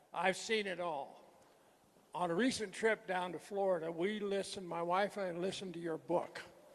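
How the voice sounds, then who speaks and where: With a high pitch and fairly even intonation, a man talks at a moderate pace. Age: 80s+. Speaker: audience member. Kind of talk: audience statement.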